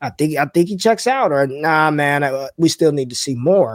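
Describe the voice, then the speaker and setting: A man with an American accent and an unremarkable speaking voice talks at a moderate pace, his fairly high pitch moving with ordinary variation, on a very clean recording with a silent background and a dry, close sound with no echo. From US West, North Las Vegas. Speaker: fantasy football analyst, former college football player. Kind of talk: casual chat.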